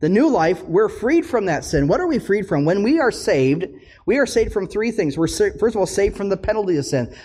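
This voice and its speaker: In an Upper Midwest accent, the speaker talks at a fairly quick pace with a dark, mellow tone and very wide pitch swings. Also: man, high pitch for a man. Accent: Upper Midwest American. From US Midwest, northern Minnesota. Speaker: pastor. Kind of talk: sermon.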